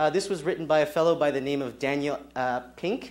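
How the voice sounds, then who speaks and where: This man talks at a fairly quick pace. His pitch is fairly high. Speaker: education technology presenter. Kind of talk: conference talk.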